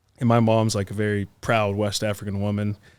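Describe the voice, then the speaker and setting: A man at a fairly low pitch and moderate pace, on a very clean recording with a silent background. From Pittsburgh area, US (moved from Guinea at five). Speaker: real estate entrepreneur and former lawyer. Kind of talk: podcast interview.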